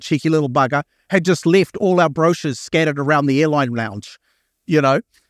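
A man with an Australian accent talks at a fairly quick pace, with fairly high pitch and lively intonation. The sound is dry and close with no echo, and the recording is very clean with a silent background. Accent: noticeable non-American (Australian). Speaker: marketing executive and keynote speaker. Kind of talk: keynote talk. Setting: stage with audience. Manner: animated, casual.

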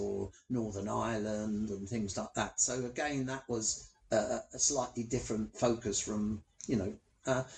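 Somewhat breathy speech in a London accent at a fairly slow pace. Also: man. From London, Hackney. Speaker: blind Paralympic athlete. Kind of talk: interview.

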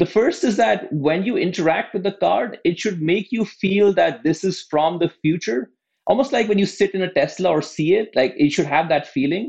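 Pausing hardly at all, a man with a high pitch speaks with lively intonation. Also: moderate pace. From outside the US. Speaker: tech startup co-founder. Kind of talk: interview.

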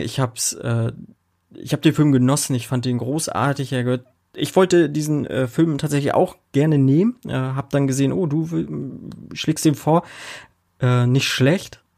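At a moderate pace, a man talks in an ordinary speaking voice, fairly high-pitched, with ordinary pitch variation. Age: 30s. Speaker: podcast host. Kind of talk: casual chat.

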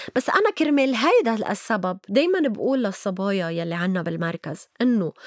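In a Lebanese accent, a woman speaks at a moderate pace with a fairly high pitch and very wide pitch swings. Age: 50s. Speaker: writer and activist. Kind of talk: interview.

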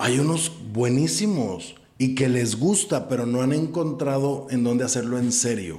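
A man's medium-pitched voice with lively intonation at a fairly slow pace, audible room echo and music in the background. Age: 40s. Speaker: theatre producer and actor. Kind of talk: casual chat. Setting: room with echo. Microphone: echoey recording.

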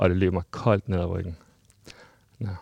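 A man's voice has a dark, mellow tone, heard against a quiet background. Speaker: person living with HIV. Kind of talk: interview testimony.

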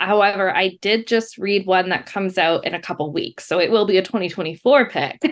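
A woman with an ordinary speaking voice and fairly high pitch talks at a moderate pace over a quiet background. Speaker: company staff member, bookseller. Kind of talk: casual interview. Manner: laughs often, playful.

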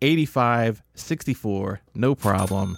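In a very clean recording with a silent background, a man with an American accent speaks in a plain, everyday voice at a medium pitch with ordinary pitch variation, the sound dry and close with no echo. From Southern Illinois, US Midwest. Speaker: podcast co-host, sports bettor. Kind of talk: casual chat.

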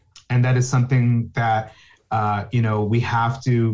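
A man with an American accent speaks at a medium pitch. His voice is somewhat breathy. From New Jersey, North Bergen (Hudson County). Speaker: conservation scientist. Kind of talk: interview.

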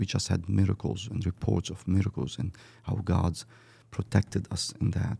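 A man's very deep, low voice carries vocal fry and a dark, mellow tone, with fairly even intonation and a dry, close sound with no echo. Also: moderate pace. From Lebanon, Beirut. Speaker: missionary. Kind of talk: interview. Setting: studio.

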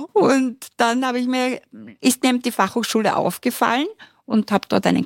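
Recorded very clean with a silent background and a dry, close sound without echo, a woman talks at a moderate pace in a high pitch. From Austria, Styria. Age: 60s. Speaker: university lecturer. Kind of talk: podcast interview. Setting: studio.

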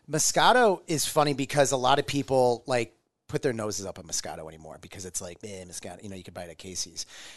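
An American-accented man talks very fast at a medium pitch, with very wide pitch swings and vocal fry. His loudness rises and falls sharply. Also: quiet background. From US Midwest, Omaha. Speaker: restaurant owner. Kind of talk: casual chat.

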